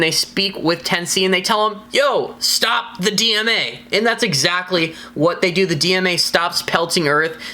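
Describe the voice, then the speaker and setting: Noticeable background noise sits behind an animated tone. The delivery is fairly slow, with ordinary pitch variation. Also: woman. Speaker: TV show reviewer. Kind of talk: video review.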